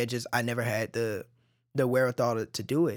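Over a very clean recording with a silent background, a man talks very fast in an American accent. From Dallas area, Texas (Oak Cliff, Cedar Hill). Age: 20s. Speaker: artist. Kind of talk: casual chat. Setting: studio.

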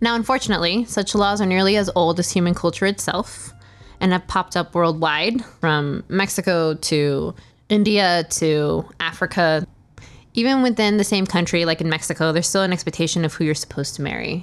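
Over music in the background, a woman with a fairly low pitch speaks at very even loudness. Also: ordinary pitch variation, fairly quick pace. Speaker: podcast host. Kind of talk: scripted narration.

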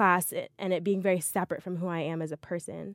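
A woman speaks at a medium pitch and a fairly quick pace in an unremarkable speaking voice. The recording is very clean, with a silent background and a dry, close sound with no echo. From US South (Montgomery, Alabama). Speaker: podcast co-host, software engineer. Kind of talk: casual chat. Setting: recording booth in a library.

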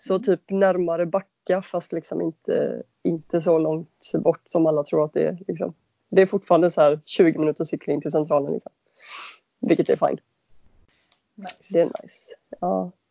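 A woman with a fairly low pitch and vocal fry talks at a moderate pace, keeping her intonation fairly even while her loudness swings widely. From western Sweden (Halland, Varberg). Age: 30s. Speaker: bicycle mechanic and adventure cyclist. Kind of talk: interview.

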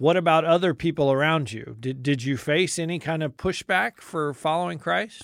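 A man talks at a moderate pace with hardly any pauses, his pitch fairly high. He has a plain, everyday voice with ordinary pitch variation. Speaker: radio host. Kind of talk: interview. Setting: studio.

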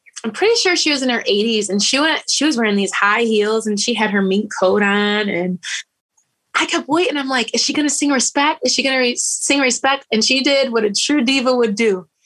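A woman with a Michigan accent speaks with lively intonation. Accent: Michigan American. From Grand Rapids, Michigan. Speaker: singer. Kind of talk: interview.

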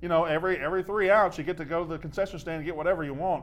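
This man speaks with a Mississippi accent at a fairly high pitch. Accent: Southern US (Mississippi). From Mississippi, US South. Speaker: sports podcast host. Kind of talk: casual chat. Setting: studio.

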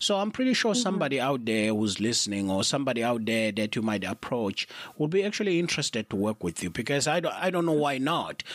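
With a South African accent and an animated tone, a man rattles along at a very fast pace with hardly any pauses, in a medium pitch with very wide pitch swings and very even loudness, in a dry, close sound with no echo. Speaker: podcast host. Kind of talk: casual interview.

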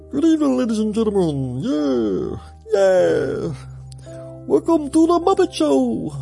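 A man's put-on character voice at a fairly slow pace, with clear music in the background

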